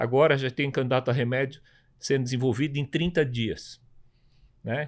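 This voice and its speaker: In an unremarkable speaking voice, a man talks at a fairly quick pace and a medium pitch. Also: very clean recording, silent background. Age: 60s. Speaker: tech entrepreneur. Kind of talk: panel discussion.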